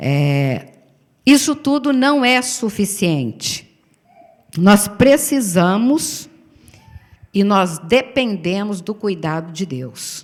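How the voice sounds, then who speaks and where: Speaking at a very slow pace with long, frequent pauses, a woman of medium pitch makes very wide pitch swings. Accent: Brazilian. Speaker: pastor. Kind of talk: sermon.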